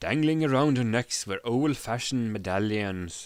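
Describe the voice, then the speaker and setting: Heard on a very clean recording with a silent background, a plain, everyday voice talks at a fairly slow pace with ordinary pitch variation. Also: man. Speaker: live streamer reading a story aloud. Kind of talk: audiobook-style narration of fantasy text.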